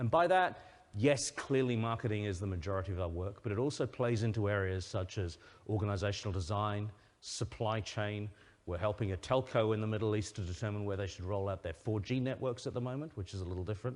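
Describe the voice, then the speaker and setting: Speaking very fast with a British accent, a man keeps a fairly low pitch and ordinary pitch variation over a quiet background. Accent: British accent, noticeable to a US audience. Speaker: company CEO, conference speaker. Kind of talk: conference presentation. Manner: hesitant, many repeated words.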